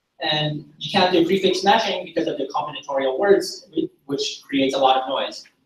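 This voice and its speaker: The speaker moves at a moderate pace. Pitch varies in an ordinary way. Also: man. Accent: Korean. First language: Korean. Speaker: data science graduate student. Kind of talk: project presentation. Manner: halting, with self-corrections.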